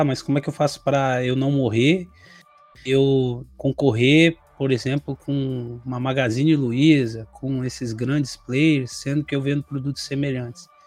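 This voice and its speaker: A fairly high male voice at a fairly slow pace, with fairly even intonation and music in the background. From Brazil. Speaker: e-commerce consultant, co-host. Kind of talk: casual chat.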